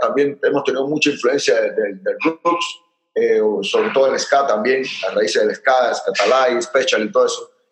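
A man with a Panamanian accent speaks at a moderate pace. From Panama, Chitré. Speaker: punk rock musician. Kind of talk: casual interview. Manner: halting.

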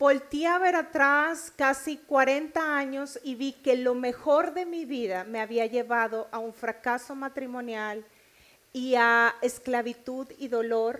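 Speaking with a northern Mexican accent, a woman uses a high pitch with ordinary variation at a fairly slow pace. The recording is very clean, with a silent background. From Mexico, Nuevo León. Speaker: preacher. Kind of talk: sermon.

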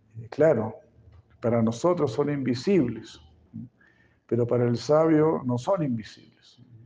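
Speaking fairly slowly with long, frequent pauses, a man uses a medium pitch, a dark, mellow tone and ordinary pitch variation, with audible echo in the room. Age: 70s. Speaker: spiritual teacher. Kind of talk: lecture. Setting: stage with audience.

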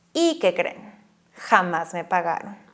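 A woman speaks at a fairly slow pace with a medium pitch. It is an unremarkable speaking voice. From northern Mexico (Monclova, Coahuila). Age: 20s. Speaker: podcast host, writer and actress. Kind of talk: guided reflection; personal storytelling monologue.

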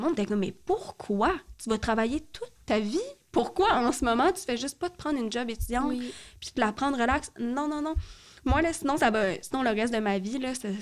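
With a Quebec accent, a woman speaks fairly quickly in a high voice with lively intonation. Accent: Québécois French. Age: 20s. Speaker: podcast guest with ADHD. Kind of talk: casual chat.

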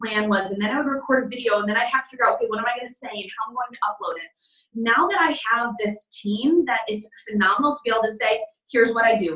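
A woman with an American accent speaks very fast at a fairly high pitch, with ordinary pitch variation. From western New York, US. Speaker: real estate team leader and business owner. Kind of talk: interview answers. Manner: fast talker.

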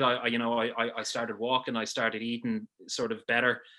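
A man with a Dublin accent speaks at a moderate pace in a medium-pitched, bright and sharp voice. The background is quiet. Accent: Dublin Irish. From Ireland, Dublin. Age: 30s. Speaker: sports broadcaster and gym member. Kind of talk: casual interview. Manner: halting, many fillers and repeats.

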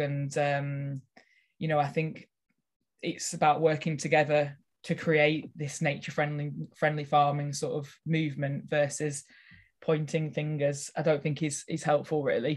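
Over a quiet background, a woman with a very deep, low pitch speaks at a moderate pace in a Lancashire accent, her intonation monotone and flat. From northern England, Lancashire. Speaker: nature retreat and events organiser. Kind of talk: casual interview.

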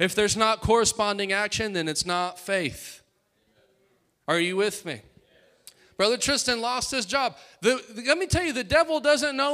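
In a very clean recording with a silent background, a man with a high pitch for a man speaks in a raised, projected voice, his tone bright, sharp and animated, his intonation lively, at a moderate pace broken by long, frequent pauses. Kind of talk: sermon. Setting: church. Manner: animated, exhortative call-and-response preaching; fervent, with rhetorical repetition and asides to congregation.

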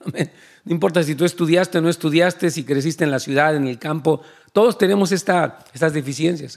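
This man speaks at a fairly slow pace with a fairly high pitch. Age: 60s. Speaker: pastor. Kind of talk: sermon.

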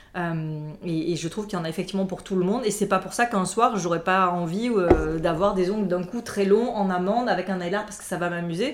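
Fairly even intonation comes at a fairly quick pace. Noticeable background noise runs underneath. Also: woman. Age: 40s. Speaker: nail artist. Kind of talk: casual chat.

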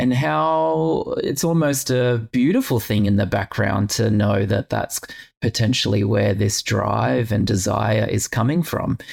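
A man with a fairly low pitch speaks at a fairly slow pace, with vocal fry and very even loudness. His intonation is lively. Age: 40s. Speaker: podcast host and yoga teacher. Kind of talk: casual interview chat.

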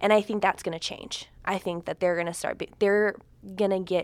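In a very clean recording with a silent background, a woman speaks in a normal speaking voice at a medium pitch, with fairly even intonation and a moderate pace. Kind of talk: casual chat.

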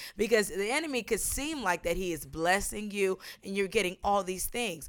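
Recorded very cleanly against a silent background, a woman speaks at medium pitch. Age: 20s. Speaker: business founder. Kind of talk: casual interview chat.

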